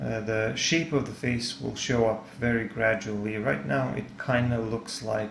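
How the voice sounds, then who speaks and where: In a Serbian accent, the speaker goes at a fairly slow pace with ordinary pitch variation, amid audible room echo and noticeable background noise. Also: man. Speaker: art tutor / artist. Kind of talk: tutorial. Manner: halting, many fillers.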